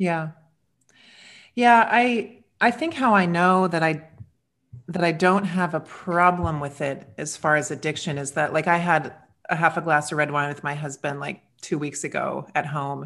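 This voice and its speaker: This woman has a plain, everyday voice with a fairly low pitch, ordinary pitch variation and a moderate pace. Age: 40s. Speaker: podcast co-host. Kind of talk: casual chat.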